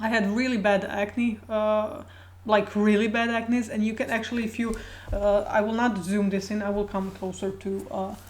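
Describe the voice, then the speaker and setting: Audible room echo surrounds a woman with a fairly high pitch. She speaks at a moderate pace in a flat monotone. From Croatia. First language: Croatian. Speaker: video blogger. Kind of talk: casual personal talk to camera. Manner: halting, many fillers and repetitions.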